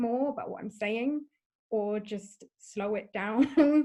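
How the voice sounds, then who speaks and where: A woman speaks with lively intonation. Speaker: podcast host. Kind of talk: podcast interview.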